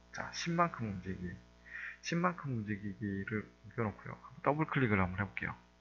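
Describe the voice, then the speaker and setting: Music plays in the background as a man speaks with a fairly low pitch. He moves at a fairly quick pace with very wide pitch swings. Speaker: coding instructor. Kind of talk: tutorial. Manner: fast.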